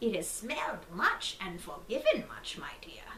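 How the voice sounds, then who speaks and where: A put-on character voice whispers at a moderate pace. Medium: read story. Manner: soft, gentle.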